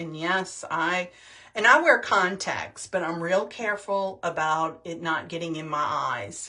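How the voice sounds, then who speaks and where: Her loudness swings widely as a woman with a fairly low pitch talks at a fairly slow pace with ordinary pitch variation. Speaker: skincare product demonstrator. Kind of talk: tutorial. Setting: livestream video.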